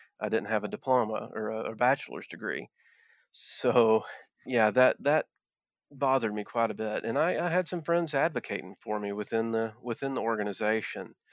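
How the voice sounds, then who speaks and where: Against a quiet background, a man with an Appalachian accent speaks with ordinary pitch variation. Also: medium pitch for a man, moderate pace. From Appalachia, Virginia. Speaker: former coal miner and activist. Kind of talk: interview conversation. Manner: hesitant, with many filler words.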